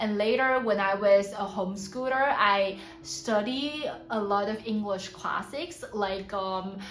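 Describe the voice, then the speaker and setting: A woman's medium-pitched voice at a very slow pace with hardly any pauses, amid noticeable background noise and audible room echo. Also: ordinary pitch variation. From Taiwan. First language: Hakka, then Mandarin. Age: 20s. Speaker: polyglot language learning vlogger. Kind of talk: casual vlog monologue in several languages. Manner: halting with many fillers in French.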